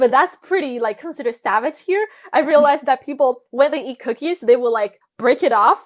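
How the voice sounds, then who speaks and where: Lively in intonation, the speaker talks at a fairly quick pace with a Chinese accent. The sound is dry and close, with no echo. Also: woman. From China. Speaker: international student. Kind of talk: interview. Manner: hesitant, many fillers.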